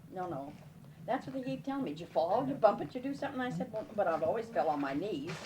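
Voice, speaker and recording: Over noticeable background noise, a woman talks at a very fast pace. Her pitch sits in the middle range, with very wide swings up and down. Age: 80s+. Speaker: grandmother interviewed by family. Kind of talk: casual family interview.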